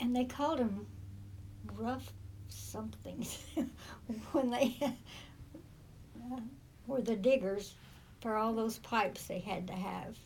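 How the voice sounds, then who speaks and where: In an American accent, a woman speaks very slowly in a fairly high, somewhat breathy voice with ordinary pitch variation and audible room echo. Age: 80s+. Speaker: great-grandmother interviewee. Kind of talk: oral history interview. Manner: halting.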